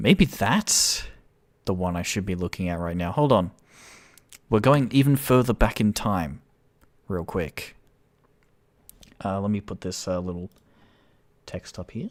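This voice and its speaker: A man at a fairly low pitch and fairly slow pace, with ordinary pitch variation, long, frequent pauses and big swings in loudness, on a very clean recording with a silent background. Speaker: game developer. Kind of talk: live stream game showcase. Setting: live stream. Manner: shaky voice; animated, halting.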